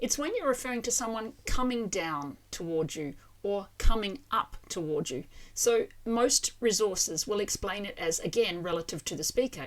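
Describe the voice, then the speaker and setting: On a very clean recording with a silent background, a woman speaks with an Australian accent at a medium pitch. Her pace is fairly slow and her intonation lively. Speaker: language teacher. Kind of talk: educational explainer to camera.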